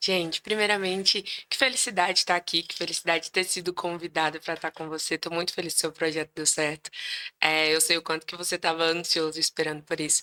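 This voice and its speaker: A woman speaks very fast in a fairly low, bright, sharp voice with fairly even intonation. The sound is dry and close with no echo, and the recording is very clean over a silent background. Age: 20s. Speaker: recruitment professional. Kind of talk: podcast interview. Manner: talkative.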